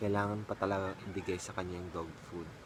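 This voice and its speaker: Noticeable background noise runs behind a man with a fairly low pitch. His intonation is monotone and flat. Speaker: vlogger. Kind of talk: casual vlog chat. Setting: at home.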